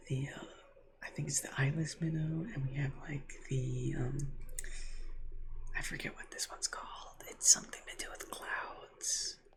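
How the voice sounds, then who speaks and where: A soft-spoken voice moves at a fairly slow pace over noticeable background noise. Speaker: ASMR creator. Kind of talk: ASMR softly spoken gameplay commentary.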